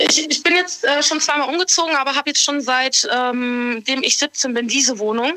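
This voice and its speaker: In a raised, projected voice, a woman speaks at a high pitch with very even loudness. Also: ordinary pitch variation, moderate pace, hardly any pauses. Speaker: caller. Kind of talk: confessional phone call.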